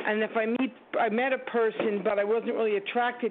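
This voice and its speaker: A woman's monotone, flat delivery comes through noticeable background noise. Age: 50s. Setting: phone call.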